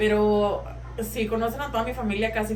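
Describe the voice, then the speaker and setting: A woman with an American accent talks at a fairly quick pace. There is noticeable background noise and audible room echo. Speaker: social media creator. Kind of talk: casual chat. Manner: loud; code-switching English and Spanish.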